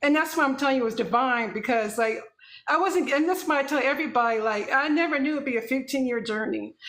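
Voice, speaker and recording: Amid audible room echo, a woman speaks at a very fast pace in a high pitch with ordinary pitch variation. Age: 50s. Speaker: infertility patient sharing her story. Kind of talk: testimony. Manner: animated.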